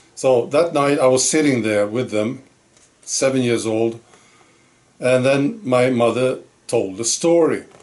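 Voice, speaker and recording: A man's medium-pitched voice at a very slow pace, with noticeable background noise. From Sweden. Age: 60s. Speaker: channel host, storyteller. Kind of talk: personal storytelling monologue. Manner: hesitant, with fillers.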